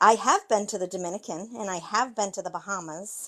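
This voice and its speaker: The background is quiet. In an American accent, a woman is talking. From Maine, US. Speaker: card-making video host. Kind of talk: live tutorial chat with viewers. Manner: casual, chatty.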